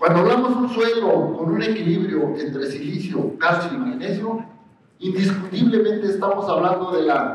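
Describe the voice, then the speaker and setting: A high-pitched man's voice amid noticeable background noise and audible room echo. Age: 60s. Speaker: agronomist lecturer. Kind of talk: lecture.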